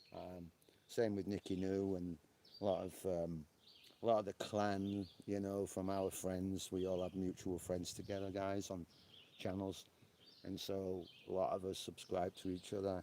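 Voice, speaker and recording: In a Yorkshire accent, a man talks at a moderate pace with a very deep, low pitch, a dark, mellow tone and monotone, flat intonation. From northern England, Yorkshire. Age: 60s. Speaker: live streamer. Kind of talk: casual chat. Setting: outdoors on a porch.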